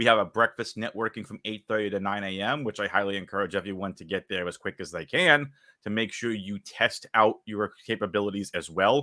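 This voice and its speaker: A man is talking. He has a Boston accent. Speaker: interviewer, event organizer. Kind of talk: interview.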